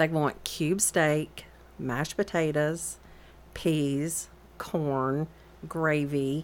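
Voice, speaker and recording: Someone with a Southern US accent speaks at a very slow pace with long, frequent pauses on a very clean recording with a silent background. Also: woman, very deep, low pitch for a woman. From Georgia, Atlanta area. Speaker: realtor and cookbook author. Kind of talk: radio interview. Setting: radio studio.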